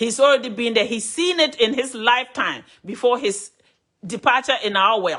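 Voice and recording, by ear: A woman talks at a moderate pace with a fairly high pitch. Her tone is fairly bright, and her pitch variation is ordinary.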